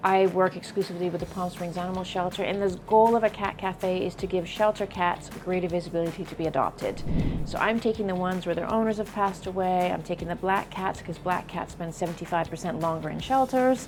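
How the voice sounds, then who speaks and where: Against music in the background, a woman at medium pitch talks very fast with hardly any pauses and fairly even intonation. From England and Canada, then London. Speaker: cat cafe owner. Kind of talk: interview. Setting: in her cafe.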